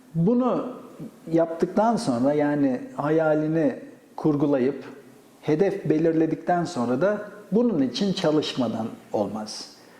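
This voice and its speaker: A very slow man's voice, fairly high in pitch, with very wide pitch swings, very even loudness and noticeable background noise. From Gaziantep, Turkey. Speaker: astrophysicist, professor. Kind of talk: oral history interview answer.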